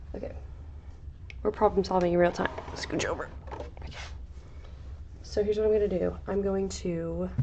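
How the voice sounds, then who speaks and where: A woman speaks quietly at a moderate pace, with long, frequent pauses. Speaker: crafting streamer. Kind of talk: casual livestream tutorial. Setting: livestream.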